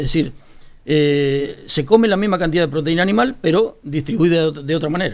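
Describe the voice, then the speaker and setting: A man with a plain, everyday voice, fairly high-pitched, with lively intonation at a fairly quick pace. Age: 60s. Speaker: farmer. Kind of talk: casual panel discussion.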